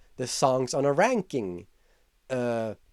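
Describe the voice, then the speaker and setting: Dry and close with no echo, a man's voice comes at medium pitch with a non-native accent. He speaks at a fairly slow pace. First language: not English. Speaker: YouTuber. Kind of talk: casual vlog commentary. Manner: casual, with filler words.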